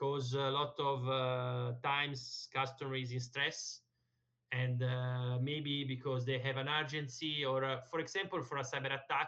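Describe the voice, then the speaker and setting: Talking at a fairly slow pace, a man with an Italian accent keeps his medium-pitched voice monotone and flat. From Italy. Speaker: language learner, tech account manager. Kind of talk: conversation lesson with tutor. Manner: halting with many fillers.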